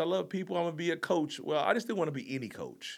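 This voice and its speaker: On a very clean recording with a silent background, a man with a fairly high pitch and vocal fry talks at a very fast pace in an animated tone, his pitch swinging very widely. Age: 40s. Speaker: life coach and Marine Corps veteran. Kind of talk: casual interview chat. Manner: animated, high energy.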